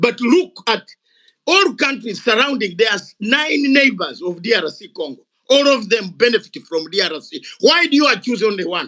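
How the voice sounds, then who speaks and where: The voice is raised and projected, bright and sharp in tone, with very wide pitch swings at a moderate pace. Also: man, extremely high pitch for a man. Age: 60s. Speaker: retired soldier and activist. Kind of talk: heated debate. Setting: online audio room. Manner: animated.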